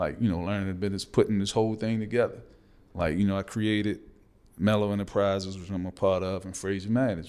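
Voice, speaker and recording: This man talks at a very fast pace in an American accent, with a fairly low pitch and monotone, flat intonation. The recording is very clean, with a silent background. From Baltimore, Maryland. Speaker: basketball business executive. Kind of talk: interview. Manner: reserved.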